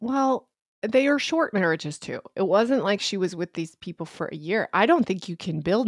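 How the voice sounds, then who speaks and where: A woman speaks in an ordinary speaking voice with lively intonation at a moderate pace. The recording is very clean and dry, close with no echo, over a silent background. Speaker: podcast co-host. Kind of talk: casual chat.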